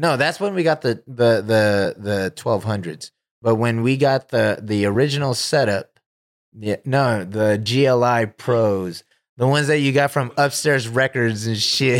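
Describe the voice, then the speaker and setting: The speaker has an American accent and a plain, everyday voice. The pace is fairly slow, with very even loudness and ordinary pitch variation. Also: man, medium pitch for a man. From Stockton, California. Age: 30s. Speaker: DJ. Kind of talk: casual chat. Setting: studio.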